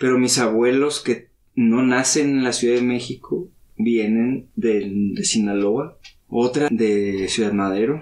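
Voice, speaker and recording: Talking at a fairly slow pace, a man has a normal speaking voice, a medium pitch and ordinary pitch variation. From Mexico City, later Baja California Sur. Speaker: listener, counselor-type professional. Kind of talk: casual chat over drinks.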